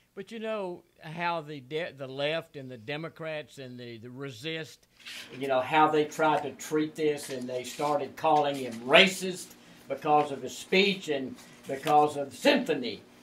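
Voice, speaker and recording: Amid noticeable background noise, a man talks at a fairly slow pace and fairly high pitch, with ordinary pitch variation and big swings in loudness. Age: 70s. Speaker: radio talk show co-host. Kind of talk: political talk radio. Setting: radio studio. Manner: halting.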